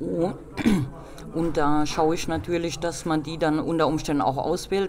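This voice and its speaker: The speech moves at a very slow pace. Room echo is audible, and background noise is noticeable. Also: woman. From Rhineland-Palatinate, Nahe region. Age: 40s. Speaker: civil engineer and travel agency owner. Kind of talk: interview.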